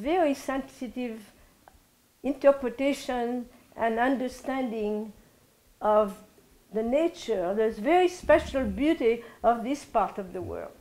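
High-pitched female voice with ordinary pitch variation and long, frequent pauses. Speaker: interviewee. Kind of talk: interview answer. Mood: reflective, warm. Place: home room. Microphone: lapel.

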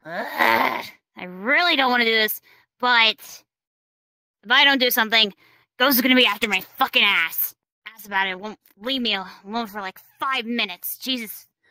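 A female-sounding voice puts on a character voice with a fairly high pitch. The pace is moderate, broken by long, frequent pauses. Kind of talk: roleplay monologue. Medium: machinima. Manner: swearing, agitated. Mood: anxious, rambling.

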